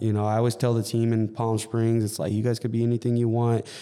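Heard in a very clean recording over a silent background, a man with a Californian accent has a dark, mellow tone. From Southern California, Inland Empire. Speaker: fitness coach and gym business owner. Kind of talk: casual interview.

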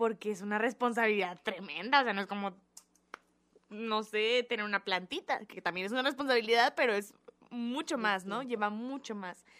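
A woman's fairly high voice with a Mexican accent, ordinary pitch variation and a moderate pace. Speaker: podcast co-host. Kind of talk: casual chat.

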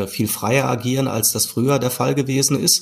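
Using a medium pitch and moderate pace, the man has an unremarkable speaking voice. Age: 40s. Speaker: e-commerce executive. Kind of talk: interview. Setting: video call.

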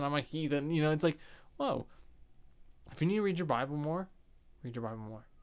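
A man talks in an ordinary speaking voice with a fairly high pitch at a fairly quick pace. The recording is very clean, with a silent background. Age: 20s. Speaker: dance teacher. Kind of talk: casual interview chat.

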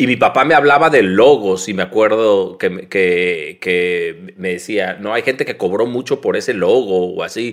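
A man with an unremarkable speaking voice talks at a fairly slow pace with lively intonation. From Mexico, Tijuana. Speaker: graphic designer. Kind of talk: casual interview.

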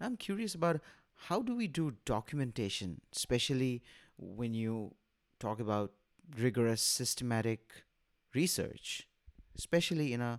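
A man with an ordinary speaking voice, medium pitch, ordinary pitch variation and a moderate pace. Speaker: podcast co-host. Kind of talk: interview.

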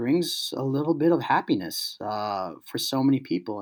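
A man speaks at a moderate pace with an American accent and ordinary pitch variation.

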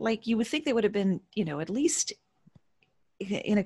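A woman with a medium pitch speaks in a somewhat breathy voice with lively intonation. The sound is dry and close with no echo, and the background is quiet. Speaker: burlesque performer, author and voice-over artist. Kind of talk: casual interview.

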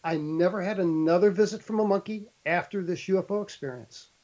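Using an American accent, a man speaks at a fairly slow pace. His pitch is high, and his intonation is lively. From St. Louis, Missouri. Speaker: lawyer and abduction experiencer. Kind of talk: interview testimony.

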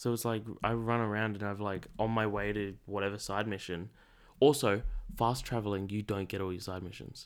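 A man with a fairly low pitch speaks in an ordinary speaking voice. His pace is moderate and his intonation fairly even. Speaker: podcast guest. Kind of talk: casual chat.

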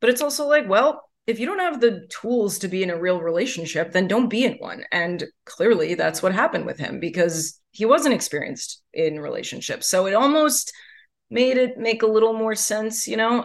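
Woman with an American accent, fairly high pitch, very wide pitch swings and a moderate pace. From New York. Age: 30s. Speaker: writer and comedian. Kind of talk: interview.

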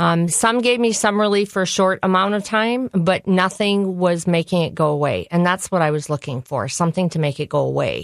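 With an Upper Midwest accent, the speaker moves at a fairly quick pace and uses ordinary pitch variation. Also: woman, medium pitch for a woman. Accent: Upper Midwest American. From US Midwest. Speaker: nutrition educator. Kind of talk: personal testimony interview. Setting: studio.

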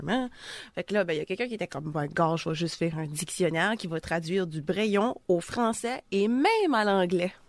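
The voice moves through very wide pitch swings. The recording is very clean, with a silent background. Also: woman. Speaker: radio columnist, new to radio.

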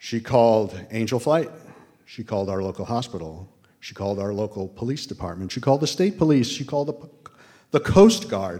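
A man's dark, mellow tone comes with lively intonation. He talks at a fairly quick pace with big swings in loudness. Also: medium pitch for a man. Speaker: storyteller, general contractor. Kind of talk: live storytelling. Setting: stage with audience.

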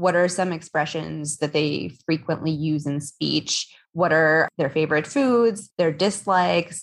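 A woman speaks at a very deep, low pitch and a fairly slow pace, her loudness very even. The background is quiet. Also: ordinary pitch variation. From Eastern Europe (Hungary, Romania, Bulgaria). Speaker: author. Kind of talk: interview.

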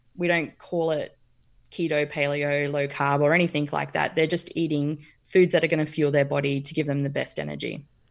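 A woman's very deep, low voice in an Australian accent, monotone and flat, at a fairly quick pace. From Brisbane, Queensland. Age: 40s. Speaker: nutritional therapy practitioner. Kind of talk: casual interview chat. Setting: video call.

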